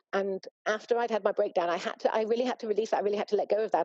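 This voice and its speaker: A woman with a medium pitch talks very fast with fairly even intonation, and the sound is dry and close with no echo. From UK. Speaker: former practicing social worker, startup founder. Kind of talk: interview answer. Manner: reflective, hesitant.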